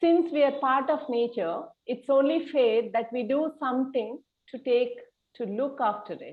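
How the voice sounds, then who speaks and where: A woman speaks at a moderate pace in a high pitch, with ordinary pitch variation. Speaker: podcast host. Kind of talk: podcast introduction.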